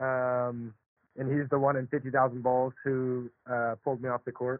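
In an American accent, a man of medium pitch speaks at a fairly slow pace with monotone, flat intonation. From US South (Charlotte, North Carolina). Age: 20s. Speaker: professional tennis player. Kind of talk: interview.

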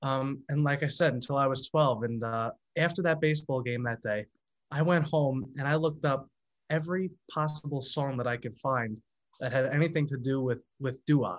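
A man with an American accent, fairly high in pitch, with ordinary pitch variation at a moderate pace, an ordinary speaking voice over a quiet background. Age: 20s. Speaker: singer. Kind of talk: casual chat.

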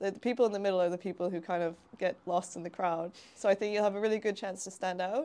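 In a Canadian accent, a woman speaks at a very fast pace with a dark, mellow tone, medium pitch and fairly even intonation. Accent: Canadian, often taken for American. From Canada. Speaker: jiu-jitsu competitor and public health researcher. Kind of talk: casual chat.

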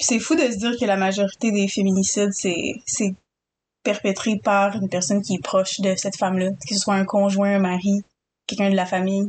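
Her speech comes at a fairly quick pace, somewhat breathy, with an Quebec accent. This woman has a medium pitch and fairly even intonation. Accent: Québécois French. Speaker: podcast co-host. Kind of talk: casual chat.

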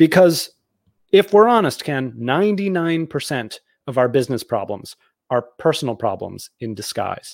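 With an American accent, a man speaks at a moderate pace and a fairly high pitch, swinging his pitch very widely on a very clean recording with a silent background. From Boston area, South Shore. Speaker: author and entrepreneur. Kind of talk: casual interview.

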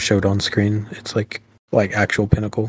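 At a moderate pace, a man talks with a fairly low pitch and a somewhat breathy voice. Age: 20s. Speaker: podcast co-host. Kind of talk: casual chat.

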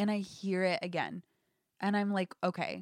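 An American accent from a woman, dry and close-sounding with no echo. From US Midwest, Indianapolis. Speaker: guest, finance worker. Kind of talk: casual chat.

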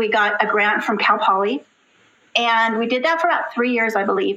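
A woman with an American accent, an unremarkable speaking voice, fairly high pitch and a fairly quick pace. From Southern California. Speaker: special education teacher and children's author. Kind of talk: interview.

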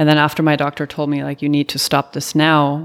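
A woman with a German accent has a very deep, low pitch. The recording is very clean with a silent background. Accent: faint German. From Germany. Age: 30s. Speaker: amateur triathlete. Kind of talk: interview.

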